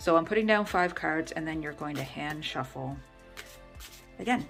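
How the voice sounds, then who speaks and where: With music playing in the background, a woman mumbles at a moderate pace in a very deep, low voice, her intonation lively and her loudness swinging widely. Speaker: tarot reader. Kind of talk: tutorial talk to camera. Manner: mumbling.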